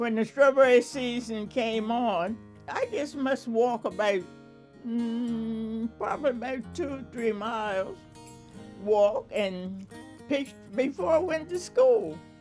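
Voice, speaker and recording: Over music in the background, someone with an American accent speaks at a very slow pace. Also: woman, fairly high pitch for a woman, ordinary pitch variation. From rural Delaware, USA. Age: 80s+. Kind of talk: oral history interview answer.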